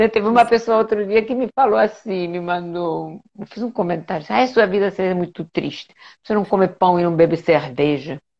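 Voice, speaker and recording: Medium in pitch, a woman talks at a moderate pace with lively intonation. She leaves hardly any pauses. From Spain, Majorca (Balearic Islands). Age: 60s. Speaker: medical doctor. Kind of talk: live interview. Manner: animated, conversational.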